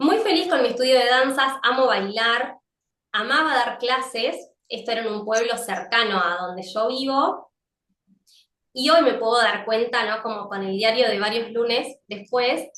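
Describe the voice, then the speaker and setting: Speaking in a Rioplatense accent, a woman has a fairly high pitch and a bright, sharp tone. Her pace is fairly slow, with ordinary pitch variation. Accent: Argentine Rioplatense Spanish. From Argentina, Lincoln (Buenos Aires province). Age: 40s. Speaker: psychologist and yoga teacher. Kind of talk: interview testimony.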